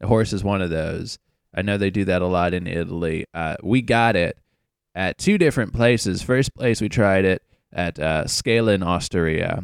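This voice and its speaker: The very clean recording, silent in the background and dry and close with no echo, captures a man with an American accent and a very deep, low pitch. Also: ordinary pitch variation, moderate pace. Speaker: travel podcast co-host. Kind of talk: casual chat.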